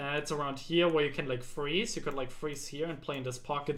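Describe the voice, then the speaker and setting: Audible room echo follows a man whose voice sits at a fairly high pitch. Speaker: game coach. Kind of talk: tutorial. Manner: fast.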